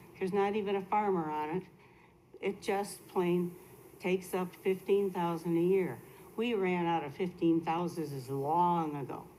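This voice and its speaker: A woman's dark, mellow voice, fairly low in pitch, at a moderate pace with fairly even intonation and audible room echo. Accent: American. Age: 70s. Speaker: resident speaking at public comment. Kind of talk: public comment. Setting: city council meeting.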